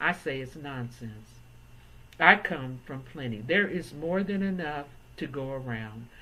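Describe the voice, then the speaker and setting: Speaking at a fairly slow pace, a woman uses a very deep, low pitch, a bright, sharp tone, lively intonation and big swings in loudness. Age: 70s. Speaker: real estate appraiser. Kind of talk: educational talk to camera.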